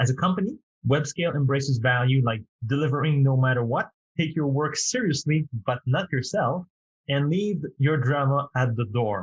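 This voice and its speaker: A man with a French accent speaks at a moderate pace in a fairly high, somewhat breathy voice with ordinary pitch variation and very even loudness, the sound dry and close with no echo. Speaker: podcast host. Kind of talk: interview podcast.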